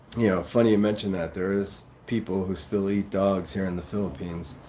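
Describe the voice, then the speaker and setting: With a New York accent, the speaker talks at a fairly slow pace in a dark, mellow tone. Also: man. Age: 50s. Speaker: live streamer. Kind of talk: casual chat reading live comments. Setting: livestream.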